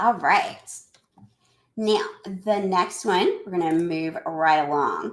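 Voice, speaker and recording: With a Southern US accent, the speaker goes at a very slow pace with long, frequent pauses and ordinary pitch variation. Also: woman, medium pitch for a woman. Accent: Southern US twang. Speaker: educator presenting a webinar. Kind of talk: live webinar presentation. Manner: chatty, talkative.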